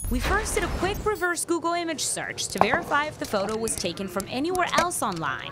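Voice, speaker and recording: Music plays in the background as a woman talks at a fairly quick pace. Her pitch swings very widely. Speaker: TV news reporter. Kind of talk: TV news report.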